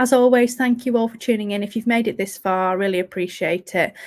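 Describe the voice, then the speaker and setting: This is a woman with an English accent. Her pitch is fairly high. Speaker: fantasy football podcast host. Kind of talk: solo podcast review. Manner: monotone.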